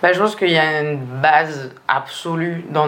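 Amid noticeable background noise and audible room echo, a woman speaks in a fairly low voice. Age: 20s. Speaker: strategic planner at a communications agency. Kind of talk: interview. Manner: hesitant, many fillers.

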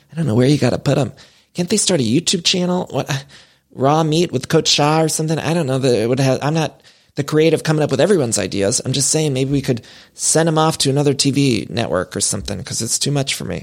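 A man with a Cleveland accent, fairly high in pitch with vocal fry and ordinary pitch variation, at a very fast pace, on a very clean recording with a silent background. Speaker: podcast host, pop culture commentator. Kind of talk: casual monologue. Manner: animated.

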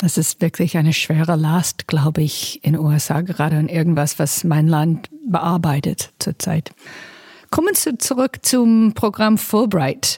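A woman with an English accent speaks at a fairly slow pace and a fairly low pitch. Her loudness stays very even, and the sound is dry and close with no echo. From United States. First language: English (speaking German). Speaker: diplomat, podcast host. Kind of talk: interview.

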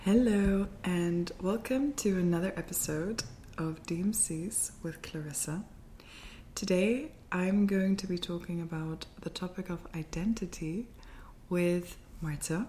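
A woman's somewhat breathy, dark, mellow tone at medium pitch, with ordinary pitch variation and a fairly slow pace. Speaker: podcast host. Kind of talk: casual conversation interview.

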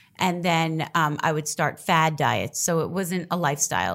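In an ordinary speaking voice, a woman with an American accent speaks at a fairly low pitch and fairly even intonation, on a very clean recording with a silent background. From Staten Island, New York. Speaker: reality TV personality. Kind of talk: interview.

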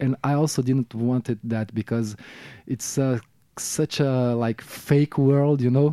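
A man with a Brazilian accent speaks at a fairly slow pace, medium-pitched with a dark, mellow tone and fairly even intonation. The recording is very clean and dry, close with no echo and a silent background. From Brazil, Rio de Janeiro. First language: Portuguese. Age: 40s. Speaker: musician. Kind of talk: casual interview. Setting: radio studio. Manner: halting, many repetitions.

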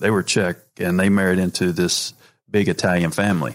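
Here a man speaks at a moderate pace. His voice is very deep and low. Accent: American. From North Carolina, US South. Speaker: podcast host, former college baseball player. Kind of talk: casual chat interview.

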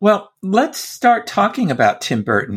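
In a very clean recording with a silent background, a man talks at a fairly slow pace. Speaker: podcast host. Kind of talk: casual chat.

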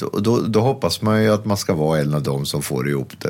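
Lively intonation from a man, noticeable background noise all around. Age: 60s. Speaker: critic and columnist. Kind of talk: casual interview chat.

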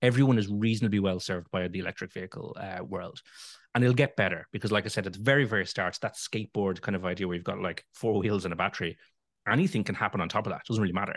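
Someone talks very fast in a Dublin accent. The sound is dry and close, with no echo. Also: man, fairly low pitch for a man, ordinary pitch variation, quiet background. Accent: Dublin Irish. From Ireland, Dublin. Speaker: EV owners association chairman. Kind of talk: interview.

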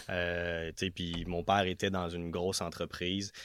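A man speaks in a very deep, low pitch. The recording is very clean, with a silent background. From Quebec, west of Montreal. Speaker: business owner. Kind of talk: interview.

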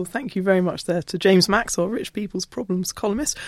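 A woman speaks with a fairly low pitch, a slightly mellow tone and a slightly husky edge. The sound is dry and close, with no echo.

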